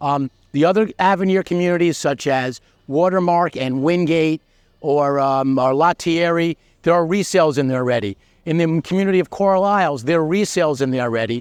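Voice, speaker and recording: Speaking at a fairly quick pace, a man uses a fairly high voice with ordinary pitch variation. The background is quiet, and the sound is dry and close, with no echo. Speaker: real estate agent and channel host. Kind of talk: property tour video, sales pitch. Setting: on site at a new-home community. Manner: fast; casual, with fillers and restarts.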